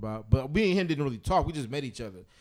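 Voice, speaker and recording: A man with lively intonation. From St. Louis, then Atlanta from age 13. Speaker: music podcast co-host. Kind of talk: casual chat. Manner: animated.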